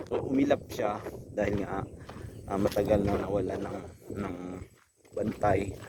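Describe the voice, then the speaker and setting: The speaker is soft-spoken and talks at a fairly slow pace. Noticeable background noise and audible room echo come through. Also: man. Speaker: cattle farmer vlogger. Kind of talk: casual vlog narration. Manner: soft-spoken, lowered voice.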